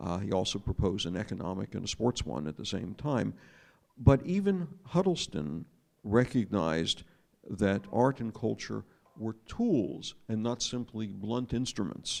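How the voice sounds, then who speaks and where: Speaking fairly slowly with an American accent, a man uses a fairly low voice with vocal fry and very wide pitch swings. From United States. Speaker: former diplomat and journalist speaking on a panel. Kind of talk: panel talk. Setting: arts festival panel with audience. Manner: hesitant, frequent fillers.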